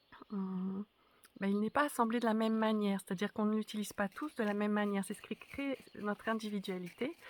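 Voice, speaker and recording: A woman speaks at a fairly quick pace with fairly even intonation. The sound is dry and close, with no echo. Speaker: spiritual teacher. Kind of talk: spoken reflection to camera. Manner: halting, many hesitations.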